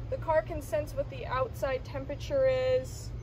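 A woman's voice comes through with a dry sound and no echo, against noticeable background noise. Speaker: presenter. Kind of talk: product walkaround commentary. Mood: enthusiastic, upbeat. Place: street.

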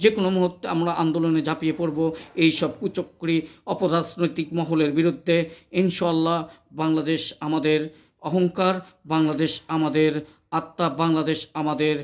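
A man speaks with very even loudness. His intonation is monotone and flat. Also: fairly high pitch for a man. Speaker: YouTube political commentator. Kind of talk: political monologue to camera.

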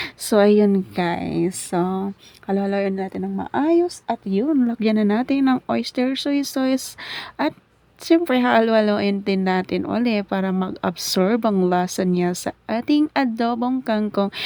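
A woman speaks very slowly in a dark, mellow tone at medium pitch, with lively intonation. The sound is dry and close, with no echo. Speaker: cooking vlogger. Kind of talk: cooking tutorial. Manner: casual.

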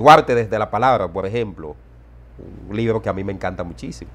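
Vocal fry in a man's speech. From Dominican Republic, Dajabón border area; Dominican Republic. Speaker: journalist and political analyst; journalist, political analyst. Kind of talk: interview. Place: home room. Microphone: lapel.

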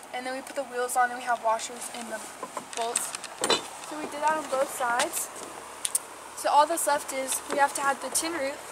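A woman's fairly quick talking competes with loud background noise. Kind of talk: tutorial. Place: farm machine. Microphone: phone near.

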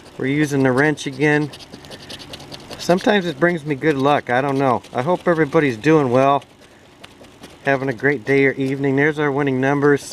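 Light background noise sits behind a man whose sound is dry, with no echo. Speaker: lottery ticket vlogger. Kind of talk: casual vlog chat. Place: garden. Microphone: phone near.

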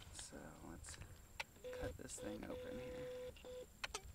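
A man is heard over noticeable background noise, the sound dry with no echo. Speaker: hot pepper vlogger. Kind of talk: casual vlog chat. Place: waterside. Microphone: phone near.

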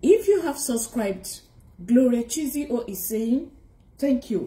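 Somewhat breathy with a dark, mellow tone, a woman talks at a moderate pace amid audible room echo. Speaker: spiritual vlogger. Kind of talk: casual vlog chat. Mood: warm, earnest. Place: home room. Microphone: phone near.

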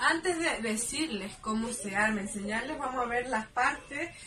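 The speaker has a Chilean accent and a moderate pace. Noticeable background noise is present. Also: woman. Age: 20s. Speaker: student making a video tutorial. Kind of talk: tutorial. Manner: animated. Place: home room. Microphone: phone near.

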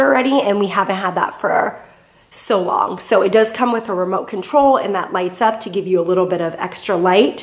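A woman talks at a moderate pace, her pitch varying in an ordinary way. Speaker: home vlogger. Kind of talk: casual vlog chat. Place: garage. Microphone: phone near.

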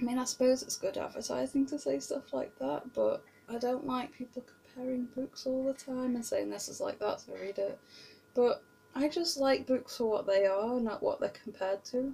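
A woman with a British accent talks at a moderate pace. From Britain. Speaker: book vlogger. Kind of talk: casual vlog monologue. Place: home room. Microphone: webcam.

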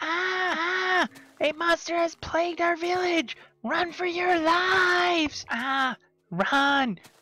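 The voice is extremely high in pitch. It moves at a very slow pace. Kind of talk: melodramatic overacting. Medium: machinima.

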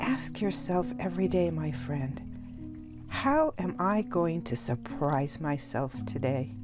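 A woman's gentle tone at a very slow pace, with music in the background. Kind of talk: ASMR-style guided meditation with affirmations. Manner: quiet, gentle, slow, encouraging.

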